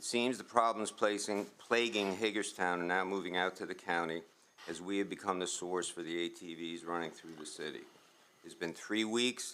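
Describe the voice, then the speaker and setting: This man's pitch is very deep and low, with ordinary variation. His tone is bright and sharp, and his pace is moderate. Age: 70s. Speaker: resident speaking at public comment. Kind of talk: public comment at county meeting. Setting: county commissioners meeting. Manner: reading a prepared statement.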